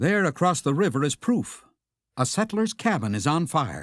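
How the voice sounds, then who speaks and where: A man's fairly high voice with vocal fry and very wide pitch swings at a moderate pace, in a very clean recording with a silent background and a dry, close sound with no echo. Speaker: narrator of the park train ride announcements. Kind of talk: theme park train ride narration. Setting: recorded tour-guide announcement on a train.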